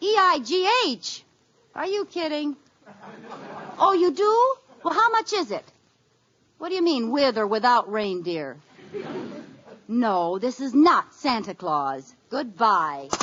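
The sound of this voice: In a put-on character voice with a fairly bright tone, a woman speaks at a fairly high pitch and a slow pace, with big pitch swings and long, frequent pauses.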